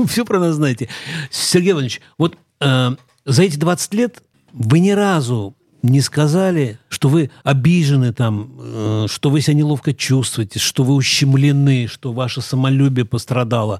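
The recording has a dry, close sound with no echo, and an ordinary speaking voice comes through it. The pace is fairly slow, with ordinary pitch variation. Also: man, fairly high pitch for a man. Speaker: co-host, newspaper correspondent. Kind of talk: live radio talk show interview. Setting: radio studio.

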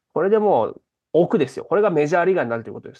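The background stays quiet. A man speaks with very wide pitch swings. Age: 30s. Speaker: stand-up comedian. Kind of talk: interview.

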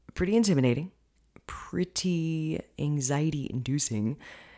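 A woman speaks in a very deep, low voice with a dark, mellow tone and lively intonation. Her fairly slow delivery comes through on a very clean recording with a silent background. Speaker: fitness and nutrition coach, podcast host. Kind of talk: solo podcast monologue, educational talk. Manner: casual, chatty, laughs often.

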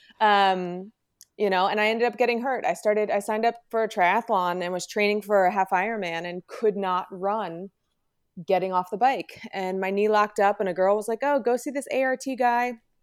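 In an American accent, a woman with a plain, everyday voice talks at a fairly quick pace, medium in pitch with ordinary pitch variation. The recording is very clean, the background silent. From New Jersey, Morris County. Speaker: physical therapist. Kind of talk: interview. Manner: casual, filler-heavy.

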